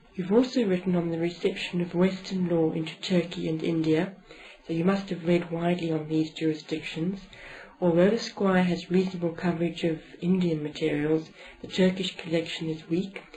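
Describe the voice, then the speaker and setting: There is noticeable background noise as a woman speaks at a moderate pace. Her pitch is fairly low and her intonation monotone and flat. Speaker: interviewer. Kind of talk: interview questions.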